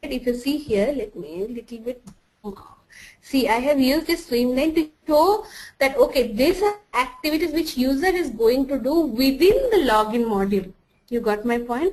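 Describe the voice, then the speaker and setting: With a non-native accent, a woman speaks at a high pitch and a moderate pace, her intonation lively. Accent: noticeable non-native. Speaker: software trainer. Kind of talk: tutorial. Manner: halting, many false starts.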